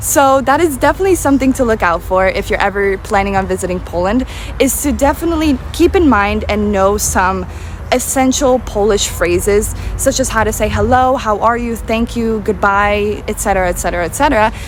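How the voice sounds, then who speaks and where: A woman with an American accent, fairly high pitch, lively intonation and a fairly quick pace, amid noticeable background noise. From United States. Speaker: travel vlogger. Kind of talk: vlog monologue. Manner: casual, with filler words.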